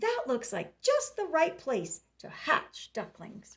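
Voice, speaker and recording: A woman puts on a character voice at a high pitch. She delivers it at a fairly slow pace. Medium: read story. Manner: quacking.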